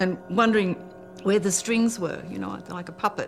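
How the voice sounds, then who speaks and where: A fairly quick pace in an Australian accent, with music in the background. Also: woman. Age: 70s. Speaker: spiritual teacher. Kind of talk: documentary interview answer.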